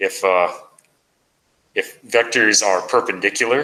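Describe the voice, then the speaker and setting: A man speaks at a very slow pace. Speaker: math instructor. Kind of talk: lecture.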